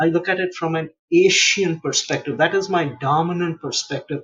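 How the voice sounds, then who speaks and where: With an Indian accent, a man talks at a moderate pace and a fairly high pitch. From India, Mumbai. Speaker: international relations policy expert. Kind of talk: interview.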